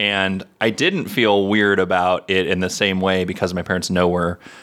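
A man with an unremarkable speaking voice, fairly low in pitch, on a very clean recording with a silent background. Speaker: podcast co-host. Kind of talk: casual chat.

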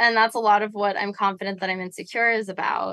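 Against a quiet background, a woman with an American accent and a fairly high pitch speaks in an unremarkable speaking voice with fairly even intonation. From New York City. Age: 20s. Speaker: musician, band member. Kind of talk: casual interview chat. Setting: tour bus, video call.

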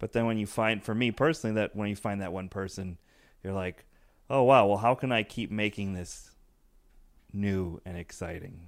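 A man speaks with an American accent in a fairly low pitch. His pitch variation is ordinary, and he leaves long, frequent pauses. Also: moderate pace. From Chicago suburbs, US Midwest. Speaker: comedian. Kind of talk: casual chat.

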